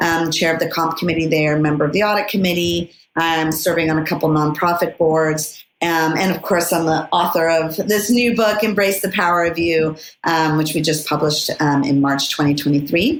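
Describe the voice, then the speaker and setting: At a moderate pace and with very even loudness, the speaker talks in a Californian accent with fairly even intonation. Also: woman, fairly low pitch for a woman. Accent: General American, California. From US, Los Angeles suburbs. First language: Spanish. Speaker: lawyer, board director and author. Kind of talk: podcast interview. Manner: many fillers (um, uh).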